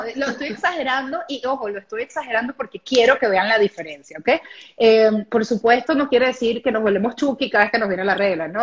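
Talking at a very fast pace, a woman uses lively intonation in a fairly high pitch. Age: 30s. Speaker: women's habits coach. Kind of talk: live interview.

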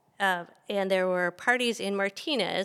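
A woman with an American accent has an ordinary speaking voice, medium in pitch with ordinary variation. The recording is very clean, the background silent. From Benicia, California (San Francisco Bay Area). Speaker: public history student. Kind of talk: interview.

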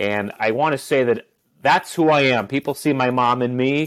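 Recorded very cleanly with a silent background, a man of medium pitch speaks with an Upper Peninsula Michigan accent. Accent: Upper Midwest American (Yooper). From Upper Peninsula of Michigan. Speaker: teacher and youth worker. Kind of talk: interview.

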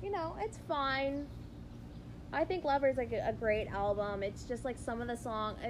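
A woman speaks in a high pitch with lively intonation. Her pace is moderate. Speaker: podcast co-host. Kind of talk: casual chat.

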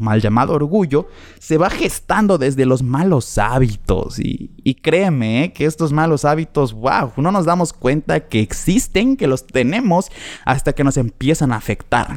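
A man speaks in an animated tone with lively intonation. His loudness stays very even. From Mexico, Chetumal, Quintana Roo. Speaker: podcast host. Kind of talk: casual monologue.

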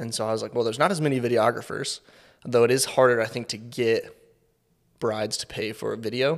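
A man of medium pitch in an American accent, very fast pace, and fairly even intonation. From US Midwest, Kansas City. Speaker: production company owner, videographer. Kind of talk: casual interview.

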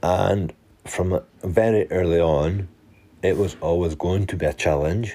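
A man with a Scottish accent speaks at a fairly slow pace in a very deep, low pitch with fairly even intonation. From Scotland. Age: 30s. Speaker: fitness and mental health coach. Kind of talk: personal monologue podcast.

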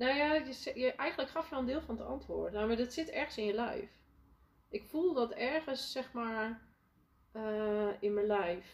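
The intonation is lively. The pace is fairly slow. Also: woman, high pitch for a woman. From Netherlands, Friesland (village). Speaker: leadership coach and entrepreneur. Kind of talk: interview, casual conversation. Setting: podcast. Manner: hesitant, many fillers.

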